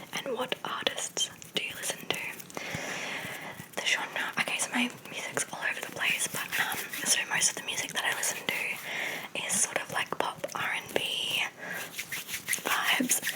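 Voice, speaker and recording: Whispering with long, frequent pauses amid noticeable background noise. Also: woman, moderate pace. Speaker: ASMR creator. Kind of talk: casual ASMR Q&A ramble. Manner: whispered.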